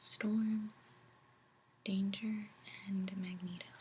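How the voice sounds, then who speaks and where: A soft-spoken woman talks at a very slow pace. Her pitch sits in the medium range. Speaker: ASMR creator. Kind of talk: casual talk to camera about comics.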